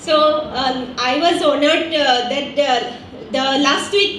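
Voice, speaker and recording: Speaking at a fairly slow pace with an Assam accent, a woman has a high pitch with ordinary variation, amid noticeable background noise and audible room echo. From Assam, India. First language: Assamese. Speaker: grassroots entrepreneur. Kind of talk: conference presentation.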